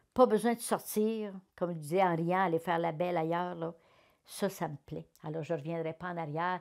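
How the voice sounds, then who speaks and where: With a Quebec accent, a woman speaks at a medium pitch and a moderate pace, using ordinary pitch variation, on a very clean recording with a silent background. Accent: Québécois French. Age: 70s. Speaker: retired politician. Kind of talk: interview testimony. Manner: animated.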